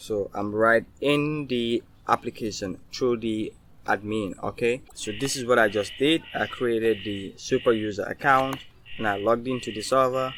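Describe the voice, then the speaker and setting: His intonation holds fairly even at a medium pitch. This man uses a normal speaking voice. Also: moderate pace. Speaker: programming tutorial maker. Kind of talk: tutorial.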